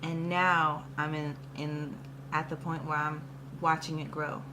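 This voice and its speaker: Echo from the room is audible. The delivery is very slow. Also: woman. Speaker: musician vlogger. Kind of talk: motivational vlog talk. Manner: animated.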